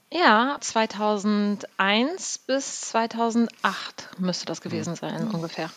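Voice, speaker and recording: With hardly any pauses, a woman of fairly high pitch speaks at a very slow pace and with lively intonation. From NRW, Münsterland (Selm). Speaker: travel company managing director. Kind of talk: casual interview. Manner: halting, many fillers.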